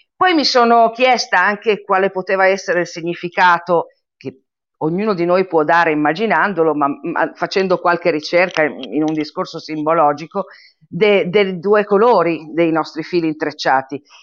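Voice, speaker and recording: A woman's normal speaking voice, fairly low in pitch, at a moderate pace with ordinary pitch variation. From Italy. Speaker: member of a cultural association. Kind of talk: casual interview chat.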